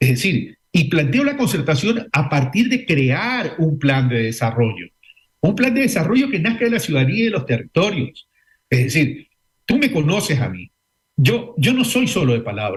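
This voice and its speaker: Male voice, very wide pitch swings, moderate pace. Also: fairly high pitch for a man. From Ecuador. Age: 60s. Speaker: former vice-presidential candidate. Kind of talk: radio interview.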